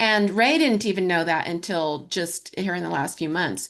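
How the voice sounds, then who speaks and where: A woman with an ordinary speaking voice talks in an American accent at medium pitch and a fairly slow pace over a quiet background. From US Southwest, New Mexico. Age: 60s. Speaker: historical fiction author. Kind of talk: casual interview chat.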